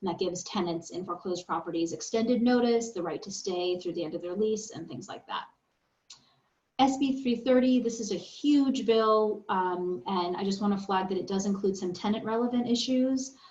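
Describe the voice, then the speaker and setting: Speaking at a fairly quick pace, a woman sounds somewhat breathy. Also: medium pitch for a woman, ordinary pitch variation. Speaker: attorney. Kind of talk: lecture. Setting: video call. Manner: fast.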